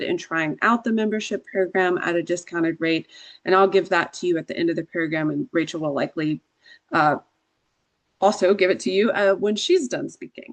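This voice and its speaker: A woman at medium pitch speaks with lively intonation in a Southern US accent. The sound is dry and close with no echo, against a quiet background. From Georgia, US South. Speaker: attorney. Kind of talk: workshop presentation.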